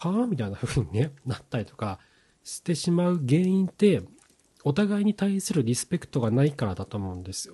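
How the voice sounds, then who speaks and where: Pitched fairly high with very wide swings, a man's somewhat breathy voice carries a dark, mellow tone at a fairly quick pace. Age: 40s. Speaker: podcast host on marriage and couple relationships. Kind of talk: solo podcast talk. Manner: casual, with frequent filler words.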